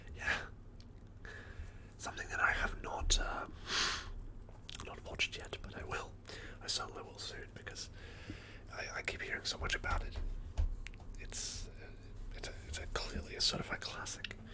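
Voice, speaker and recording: Whispering in a relaxed tone with a British accent, a man moves at a moderate pace with long, frequent pauses and big swings in loudness, over noticeable background noise. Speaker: ASMR / film collection streamer. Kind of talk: ASMR ramble about movie collection, casual talk to camera. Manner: whispered, soft-spoken, relaxed.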